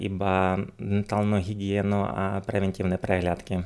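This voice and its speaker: Speaking at a fairly slow pace, a man has a Ukrainian accent and a fairly low voice. His intonation is monotone and flat. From Ukraine, Uzhhorod. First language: Ukrainian (speaking Slovak). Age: 30s. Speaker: dentist. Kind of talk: interview. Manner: halting.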